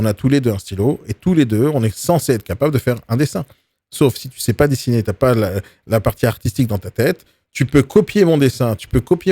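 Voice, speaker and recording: A man talks at a very fast pace with lively intonation and a dark, mellow tone. The sound is dry and close, with no echo. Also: very clean recording, silent background. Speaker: real estate coach. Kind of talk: live video training talk. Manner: aggressive, forceful delivery.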